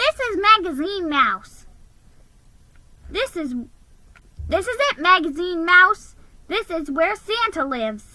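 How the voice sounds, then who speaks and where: A put-on character voice at an extremely high pitch, fairly slow, with long, frequent pauses. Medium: read story.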